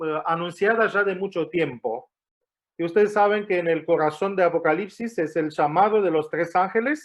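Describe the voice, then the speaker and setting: Speaking with an Argentine accent, a man uses a high pitch, ordinary pitch variation and a moderate pace. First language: not Spanish; learned it in Argentina (speaking Spanish). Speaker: guest preacher. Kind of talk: sermon. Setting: church. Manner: hesitant, many fillers and restarts.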